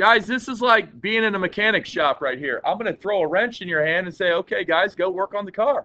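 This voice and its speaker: Loud and high-pitched, a man talks at a fairly quick pace with hardly any pauses and ordinary pitch variation. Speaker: teacher. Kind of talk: classroom lesson. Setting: classroom.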